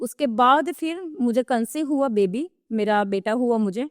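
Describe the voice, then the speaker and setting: Recorded very cleanly with a silent background and a dry, close sound with no echo, a woman with a Gujarati accent speaks at a fairly high pitch with ordinary pitch variation. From Gujarat, Kathiawar. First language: Gujarati (speaking Hindi). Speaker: digital marketing expert. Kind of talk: podcast interview.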